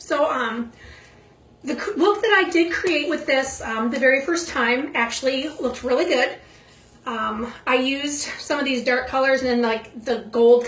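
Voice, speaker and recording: A high-pitched woman's voice with noticeable background noise and audible room echo. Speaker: makeup video creator. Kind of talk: makeup tutorial.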